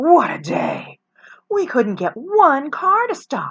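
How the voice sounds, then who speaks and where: In a put-on character voice pitched extremely high, a woman speaks very slowly, raising and projecting her voice. The background is quiet. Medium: read story. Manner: fussy, chattering.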